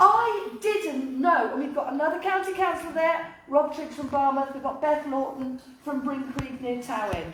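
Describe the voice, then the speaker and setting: With a North Welsh accent, the speaker keeps a moderate pace with hardly any pauses and lively intonation, and room echo is audible. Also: woman, high pitch for a woman. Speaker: local councillor. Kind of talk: public talk.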